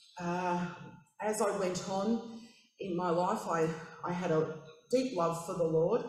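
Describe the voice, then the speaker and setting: A woman speaks with an Australian accent, her pitch fairly low with ordinary variation. Audible room echo surrounds her voice. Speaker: church member. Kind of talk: testimony. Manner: halting, many fillers.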